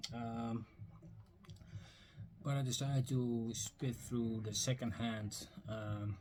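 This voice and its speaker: A man speaks very slowly with monotone, flat intonation and long, frequent pauses. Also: medium pitch for a man. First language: Dutch. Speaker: record and book collector vlogger. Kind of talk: casual video vlog. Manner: hesitant, many fillers.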